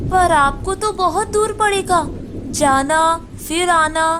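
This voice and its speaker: In a cartoonish character voice, a woman speaks at a very slow pace with an extremely high pitch over clear background noise. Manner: conceited.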